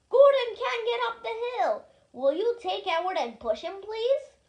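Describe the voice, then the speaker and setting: A woman uses a put-on character voice at an extremely high pitch. She talks at a moderate pace with very wide pitch swings. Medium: read story.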